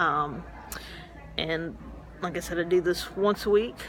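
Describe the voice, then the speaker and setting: Moderate-paced speech from a woman in a Southern US accent. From Memphis, Tennessee. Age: 40s. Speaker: metastatic breast cancer patient. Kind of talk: casual vlog to camera. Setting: medical clinic.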